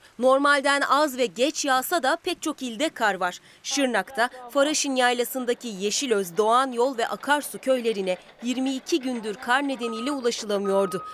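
Against noticeable background noise, a woman speaks at a high pitch with ordinary pitch variation. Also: fairly slow pace. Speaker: weather reporter. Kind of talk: news reading.

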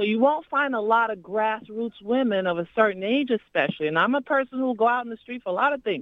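A woman talks in a normal speaking voice. Her pitch is fairly high, and her intonation is lively. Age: 50s. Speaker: community activist. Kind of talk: phone-in call. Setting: phone call.

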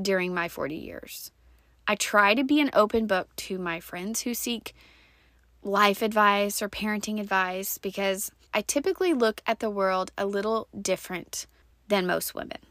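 Recorded very cleanly against a silent background with a dry, close sound and no echo, this woman speaks at a fairly slow pace with a medium pitch, ordinary pitch variation and a bright, sharp tone. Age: 40s. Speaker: podcast host. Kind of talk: personal storytelling monologue.

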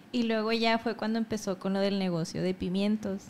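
A woman's ordinary speaking voice, medium in pitch, fairly quick, with fairly even intonation. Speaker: podcast host. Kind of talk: casual chat.

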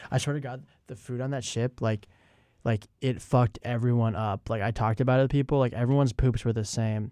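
Dry and close with no echo, a man's plain, everyday voice moves at a fairly quick pace, with medium pitch and fairly even intonation. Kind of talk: radio DJ patter: jokey ad-read banter, playing the spa-ad sidekick. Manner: bantering, quick, playful.

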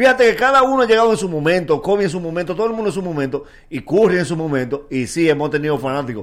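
With hardly any pauses, a man races along at a very fast pace, his high pitch making very wide swings in a very clean recording with a silent background. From Dominican Republic, Nagua area. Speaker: comedian. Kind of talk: casual chat. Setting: studio.

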